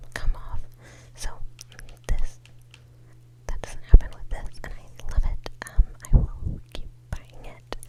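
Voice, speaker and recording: A woman whispers at a very slow pace in a relaxed tone. Noticeable background noise can be heard. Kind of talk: ASMR makeup show and tell, casual talk to camera. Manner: whispered, relaxed.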